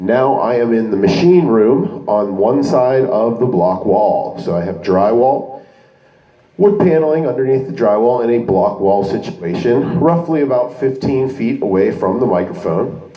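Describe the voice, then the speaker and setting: Over noticeable background noise, a man at a medium pitch talks at a fairly slow pace with very wide pitch swings. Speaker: DJ doing product reviews. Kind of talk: product review tutorial. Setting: indoors in block building, speaking through wireless microphone to speaker. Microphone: handheld wireless mic through speaker with moderate echo, camera in other room.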